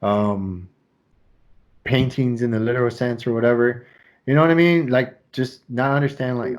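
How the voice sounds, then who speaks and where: Mumbling with long, frequent pauses, a man speaks with ordinary pitch variation. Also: medium pitch for a man, moderate pace. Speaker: podcast host. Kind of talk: casual chat. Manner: mumbling a little.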